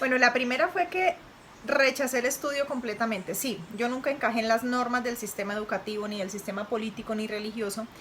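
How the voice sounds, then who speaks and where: Against noticeable background noise, a woman with a fairly high pitch talks at a fairly quick pace with ordinary pitch variation. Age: 30s. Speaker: interviewee, mother of host. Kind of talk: interview.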